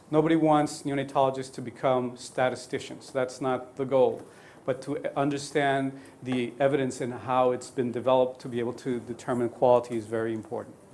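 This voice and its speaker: A man with a Spanish accent speaks at a fairly quick pace in a monotone, flat intonation, with audible room echo. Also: medium pitch for a man. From Colombia. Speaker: neonatologist lecturer. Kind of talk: lecture. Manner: halting.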